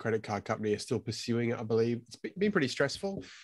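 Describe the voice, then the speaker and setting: This is a man speaking with an Australian accent. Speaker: film photography podcast host. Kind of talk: casual chat. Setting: live stream.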